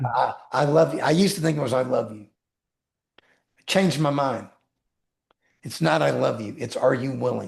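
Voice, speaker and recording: At a moderate pace and with vocal fry, a man speaks with big swings in loudness, ordinary pitch variation, and long, frequent pauses. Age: 60s. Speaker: attorney, author and mindset coach. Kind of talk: interview.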